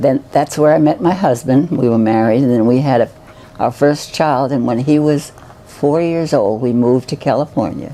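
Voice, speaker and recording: Over noticeable background noise, a woman with an American accent speaks at a moderate pace in a very deep, low pitch. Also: ordinary pitch variation. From New York City (Bronx). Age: 90s. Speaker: retirement home resident, retired nurse. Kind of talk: personal life story interview. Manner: halting, with false starts.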